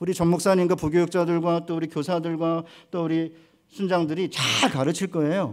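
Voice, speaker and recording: A high-pitched male voice at a moderate pace with ordinary pitch variation, in a very clean recording with a silent background. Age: 60s. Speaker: seminary professor, guest preacher. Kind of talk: sermon.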